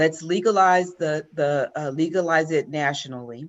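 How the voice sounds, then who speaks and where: The woman's very deep, low pitch shows ordinary variation. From Mississippi and Los Angeles. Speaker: congressional candidate, attorney, retired Marine colonel. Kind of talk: interview answer.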